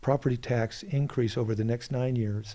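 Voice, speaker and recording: A man speaks at a medium pitch and a moderate pace. His voice is somewhat breathy, with a dark, mellow tone and ordinary pitch variation. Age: 60s. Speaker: political candidate. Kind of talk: interview. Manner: halting.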